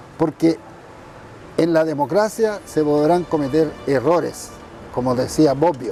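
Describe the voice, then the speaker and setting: Music plays behind a man who speaks fairly slowly at a fairly high pitch. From northern Chile, Iquique. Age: 70s. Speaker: former political prisoner and politician. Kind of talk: interview testimony. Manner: halting, many fillers.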